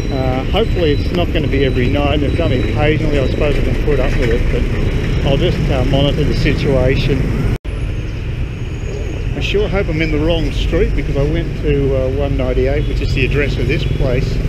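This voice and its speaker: Over loud background noise, a man speaks at a fairly quick pace in a dry sound without echo. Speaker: travel vlogger. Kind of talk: casual vlog chat. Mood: mildly frustrated, musing. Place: street. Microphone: phone near.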